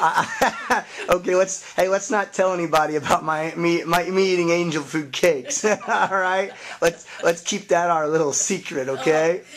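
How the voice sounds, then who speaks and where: Against noticeable background noise, a man speaks at a moderate pace with high pitch and ordinary pitch variation. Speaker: fitness channel host. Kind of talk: casual interview questions.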